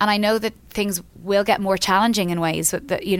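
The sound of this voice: A woman talks at a fairly quick pace with a clear, smooth tone.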